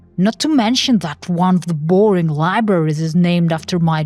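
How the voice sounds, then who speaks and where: A woman's fairly low voice at a fairly slow pace, with music in the background. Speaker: narrator. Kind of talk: horror story narration.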